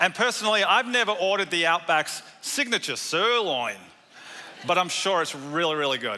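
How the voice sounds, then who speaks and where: Speaking at a moderate pace with lively intonation, a man with an Australian accent uses a high pitch. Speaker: pastor. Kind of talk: sermon. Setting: church.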